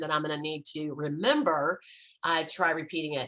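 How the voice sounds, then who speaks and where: The woman's tone is bright and sharp. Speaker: marriage coach. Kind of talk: tutorial. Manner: fast.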